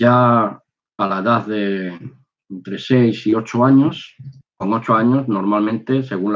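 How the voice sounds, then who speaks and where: Here a man talks at a very slow pace, his pitch varying in an ordinary way. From Spain. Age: 60s. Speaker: religious video maker, former soldier. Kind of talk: personal testimony. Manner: halting.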